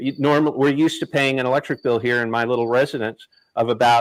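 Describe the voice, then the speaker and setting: Fairly even intonation marks this man's fairly high-pitched speech in a plain, everyday voice. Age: 60s. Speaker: live stream host. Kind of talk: live stream political discussion. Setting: live stream.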